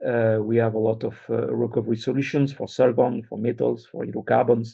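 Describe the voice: At a fairly quick pace, the voice shows vocal fry, a slightly husky edge and little pitch movement. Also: man, medium pitch for a man.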